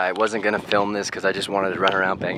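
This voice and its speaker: Through loud background noise, a man talks at a very fast pace, the sound dry with no echo. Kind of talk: casual vlog chat. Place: stadium. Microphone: phone near.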